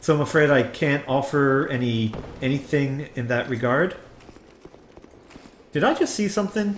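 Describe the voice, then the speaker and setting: A fairly high-pitched man with an American accent, lively intonation, long, frequent pauses, and noticeable background noise. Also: moderate pace. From New Jersey. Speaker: video game streamer. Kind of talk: live gameplay commentary. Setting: live stream. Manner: animated.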